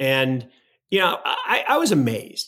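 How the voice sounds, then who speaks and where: The voice is raised and projected, with a bright, sharp tone and very wide pitch swings. It moves at a moderate pace in a very clean recording with a silent background. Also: man. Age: 60s. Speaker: finance podcast co-host. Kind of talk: casual chat.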